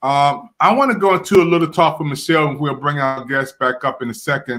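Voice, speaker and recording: In an American accent, the speaker talks at a very fast pace with a bright, sharp tone. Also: man. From Washington DC. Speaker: talk show host. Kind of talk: talk show discussion.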